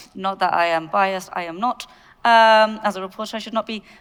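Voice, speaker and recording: In a very clean recording with a silent background, a woman with a British accent speaks fairly quickly at a medium pitch with fairly even intonation. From UK. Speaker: panel moderator. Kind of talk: panel moderation. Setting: stage with audience.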